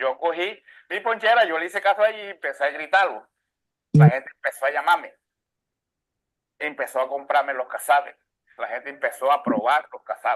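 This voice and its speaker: Talking at a fairly quick pace with long, frequent pauses, a man with a high pitch shows big swings in loudness. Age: 60s. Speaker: cassava bread maker. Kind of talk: documentary interview testimony. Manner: halting.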